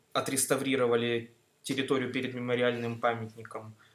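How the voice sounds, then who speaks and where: A man speaks fairly slowly at a medium pitch in an unremarkable speaking voice. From Mineralnye Vody, North Caucasus, Russia (born in Greece, moved at 6). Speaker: student. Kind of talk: casual chat.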